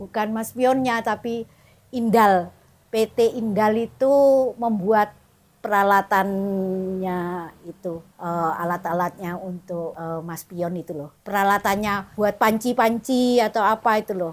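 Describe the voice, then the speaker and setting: The pace is very slow, with ordinary pitch variation and big swings in loudness. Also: woman, medium pitch for a woman. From Indonesia, Madura. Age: 70s. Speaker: church member giving testimony. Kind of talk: personal testimony. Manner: casual, chatty.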